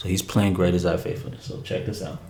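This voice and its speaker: Room echo can be clearly heard as this man rushes through his words very fast. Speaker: piano teacher. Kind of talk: tutorial.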